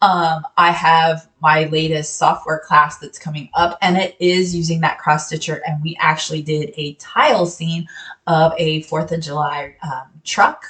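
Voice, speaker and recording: A woman with an unremarkable speaking voice talks at a fairly slow pace and fairly low pitch. Her loudness swings widely. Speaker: sewing software instructor. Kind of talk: tutorial.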